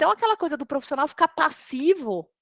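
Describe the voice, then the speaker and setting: A raised, projected voice with a bright, sharp tone and very wide pitch swings, in a dry, close sound with no echo. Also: woman. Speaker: tech recruiter. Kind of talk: live webinar talk.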